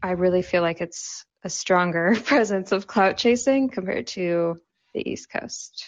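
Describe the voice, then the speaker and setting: A woman with an American accent has an unremarkable speaking voice, medium in pitch and fairly slow in pace. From Southern California. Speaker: social media creator and marketer. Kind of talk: casual interview chat. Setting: live audio show.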